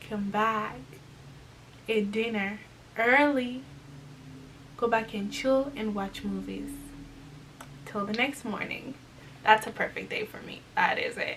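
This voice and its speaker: A woman at a very slow pace with long, frequent pauses over noticeable background noise. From Congo. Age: 20s. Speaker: lifestyle YouTuber. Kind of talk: casual talk to camera.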